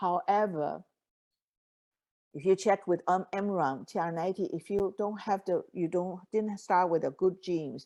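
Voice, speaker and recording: A woman's medium-pitched voice with a dark, mellow tone and ordinary pitch variation, over a quiet background. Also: moderate pace. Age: 70s. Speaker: nutritionist and network marketing leader. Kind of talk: interview. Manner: halting.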